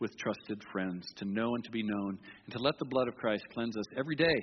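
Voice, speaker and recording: A medium-pitched man talks at a fairly quick pace in an ordinary speaking voice. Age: 60s. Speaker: pastor. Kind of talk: sermon.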